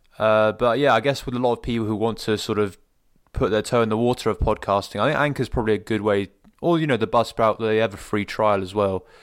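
A man's fairly low voice at a very fast pace, with fairly even intonation, on a very clean recording with a silent background. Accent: British. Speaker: podcast host. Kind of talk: casual interview.

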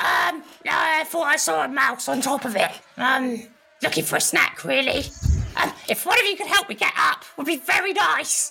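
At a moderate pace, a high put-on character voice speaks with long, frequent pauses. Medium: actual play. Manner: sheepish, offhand.

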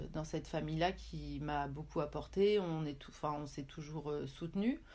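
A woman's very deep, low voice, dark and mellow, with vocal fry, fairly even intonation and a fairly slow pace. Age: 40s. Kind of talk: casual interview.

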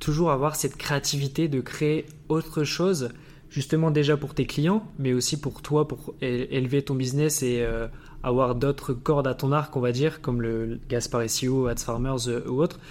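Here is an ordinary speaking voice. The pace is fairly slow. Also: man, fairly high pitch for a man, ordinary pitch variation. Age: 20s. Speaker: podcast host. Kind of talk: interview.

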